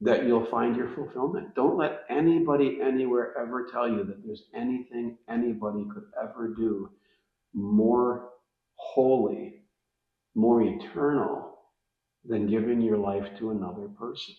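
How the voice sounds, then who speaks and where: A normal speaking voice at a fairly slow pace, with lively intonation. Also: man, medium pitch for a man. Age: 60s. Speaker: faith-based parenting guest. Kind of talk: casual interview chat.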